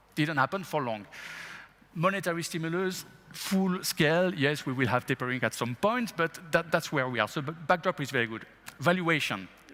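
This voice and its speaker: This man talks at a moderate pace in a fairly high pitch, with a bright, sharp tone and lively intonation. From France. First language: French. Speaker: investment executive. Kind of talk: interview. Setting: stage with audience.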